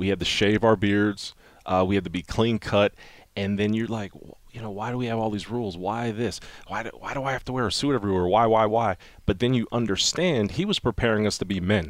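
A man's fairly low voice at a fairly quick pace with ordinary pitch variation, in a very clean recording with a silent background. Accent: American. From northeastern Pennsylvania (Wilkes-Barre). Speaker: NFL team personnel executive, former player. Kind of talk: interview. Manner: halting, with fillers.

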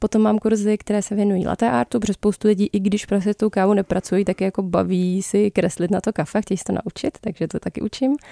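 A woman with a dark, mellow tone and medium pitch speaks very fast, with hardly any pauses and ordinary pitch variation. The recording is very clean, dry and close, with a silent background and no echo. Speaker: barista and coffee course instructor. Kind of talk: casual interview.

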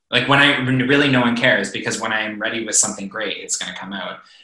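A man speaks at a medium pitch and a fairly quick pace. His intonation stays fairly even, with audible room echo. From East Coast of Canada. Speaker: musician. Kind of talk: interview. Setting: video call.

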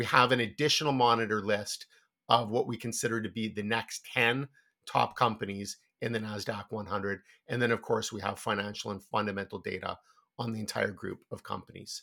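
Very clean recording with a silent background, featuring a man at a fairly quick pace. His medium-pitched voice has a bright, sharp tone and fairly even intonation. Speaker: stock analyst. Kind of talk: casual business discussion.

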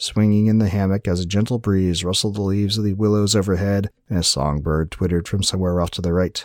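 A man's fairly low, unremarkable speaking voice at a fairly quick pace, intonation fairly even, on a very clean recording over a silent background. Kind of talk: dramatic narration of a fantasy story, read aloud. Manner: calm, soothing, storyteller's pacing.

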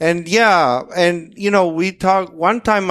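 Here a man speaks with a Spanish accent. His pace is fairly slow. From Dominican Republic. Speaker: master printer. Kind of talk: casual interview.

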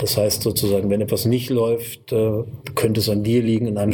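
A man speaks at medium pitch in a monotone, flat delivery. Noticeable background noise runs underneath. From northern Hesse, Kassel. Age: 40s. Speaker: media entrepreneur and magazine publisher. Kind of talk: interview.

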